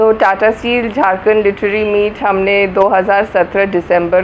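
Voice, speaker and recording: A woman speaks with a Malayalam accent in a flat, monotone intonation. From Kolkata, India. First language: Malayalam (speaking Hindi). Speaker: literary festival organiser. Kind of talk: interview. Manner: halting.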